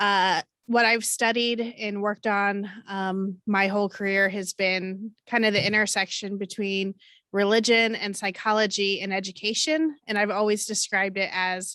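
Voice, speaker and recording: Speaking with a Midwestern American accent, a woman uses a medium pitch, fairly even intonation and a bright, sharp tone at a moderate pace. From Indiana, US (Johnson County). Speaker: college chaplain and minister. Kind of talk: panel discussion. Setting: video call.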